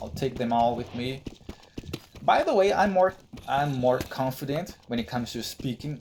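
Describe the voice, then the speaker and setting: Speech at a moderate pace comes through with noticeable background noise behind it. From Brazil. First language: Brazilian Portuguese. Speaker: gaming YouTuber. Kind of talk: gameplay commentary. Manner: halting, with restarts and repetitions.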